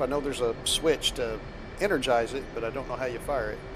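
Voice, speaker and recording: A man talks at a very fast pace in a fairly high voice. Noticeable noise sits in the background. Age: 60s. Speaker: flight sim streamer. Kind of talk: casual gaming chat.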